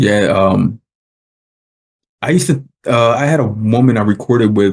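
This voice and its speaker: A man with a fairly low pitch and an American accent, at a fairly slow pace. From United States. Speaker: podcast host. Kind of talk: casual interview chat.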